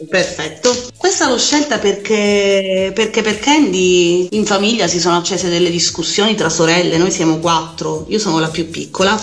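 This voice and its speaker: A woman with a fairly low pitch speaks at a moderate pace. Audible room echo and noticeable background noise fill the recording. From Sicily, province of Enna. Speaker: teacher, radio listener guest. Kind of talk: casual interview chat.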